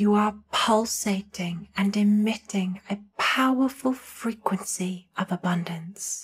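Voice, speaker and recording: Very slow and somewhat breathy, the voice keeps a soothing, calm tone with fairly even intonation and hardly any pauses. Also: woman, medium pitch for a woman. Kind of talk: guided meditation. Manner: soothing, slow, calm.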